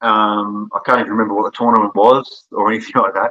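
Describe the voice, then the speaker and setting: Very fast and with an Australian accent, a man speaks in a bright, sharp tone, the sound dry and close with no echo. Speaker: online promo wrestler. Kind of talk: podcast interview. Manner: halting, repeats words.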